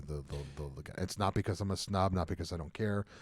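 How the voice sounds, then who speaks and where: A man with an American accent talks at a very fast pace with fairly even intonation, captured in a very clean recording over a silent background. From New Jersey, Bergen County. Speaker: comedian. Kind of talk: casual chat.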